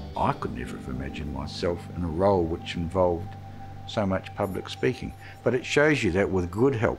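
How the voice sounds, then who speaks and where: Over music in the background, a man with a very deep, low pitch talks at a fairly quick pace. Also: lively intonation. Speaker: youth court judge. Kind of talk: interview answer.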